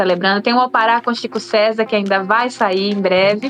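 A woman's voice has a medium pitch. Noticeable background noise runs under it. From Brazil, Aracaju, Sergipe. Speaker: singer. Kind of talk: radio interview.

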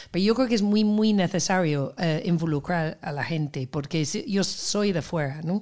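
Delivered at a moderate pace, this is a normal speaking voice. The background is silent and the recording very clean. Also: woman. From Seville, Andalusia. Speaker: festival organizer, cultural producer. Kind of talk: casual interview.

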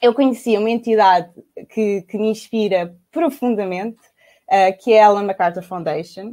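Speaking fairly slowly in a European Portuguese accent, a woman has a fairly high pitch and a dark, mellow tone. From Portugal, south bank of the Tejo (Lisbon area). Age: 30s. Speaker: circular economy entrepreneur. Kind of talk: online panel talk. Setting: video call from home. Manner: halting, many fillers and repetitions.

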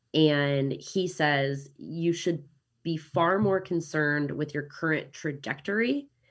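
A woman with a Midwestern accent and a very deep, low pitch speaks at a very slow pace with fairly even intonation on a very clean recording with a silent background. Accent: American Midwestern. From Kansas City, US Midwest. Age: 30s. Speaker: digital nomad and real estate investor. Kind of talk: casual interview chat.

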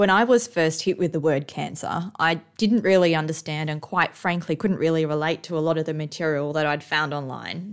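A woman with a fairly low pitch speaks in an unremarkable speaking voice, captured in a very clean recording with a silent background. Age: 30s. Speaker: podcast host, cancer patient. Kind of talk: scripted narration.

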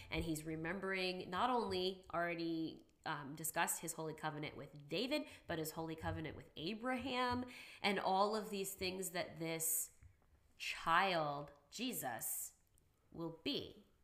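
A woman's plain, everyday voice, fairly low in pitch, at a fairly slow pace with lively intonation. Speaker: podcast host, school worker. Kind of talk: casual chat.

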